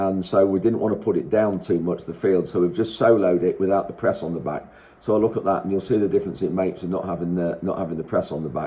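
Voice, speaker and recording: Very deep and low in pitch, a man talks at a very fast pace with hardly any pauses. His intonation stays fairly even. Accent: Lincolnshire. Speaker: farmer. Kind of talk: casual vlog. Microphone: no wind muffler.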